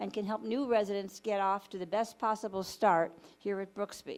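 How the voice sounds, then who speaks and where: Recorded very cleanly against a silent background, a woman speaks at a medium pitch. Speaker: resident council liaison. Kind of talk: committee meeting report. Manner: fast.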